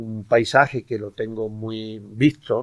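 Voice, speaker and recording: The pace of this man's speech is very slow. His intonation remains fairly even. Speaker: poet. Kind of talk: book presentation talk. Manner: halting, many repetitions.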